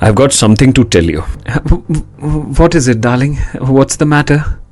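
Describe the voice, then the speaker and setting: Speaking with an Indian accent, the man lets his pitch vary in an ordinary way. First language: Hindi. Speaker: audiobook narrator. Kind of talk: literary audiobook reading, dramatized narration of a short story with character dialogue. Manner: expressive, theatrical, shifting tone for each character; measured suspenseful pacing.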